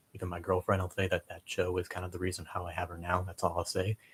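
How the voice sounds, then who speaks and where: A somewhat breathy, monotone, flat voice at a fairly quick pace, dry and close with no echo. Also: man. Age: 20s. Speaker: streamer. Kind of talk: casual live stream chat. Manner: fast; quiet, hesitant.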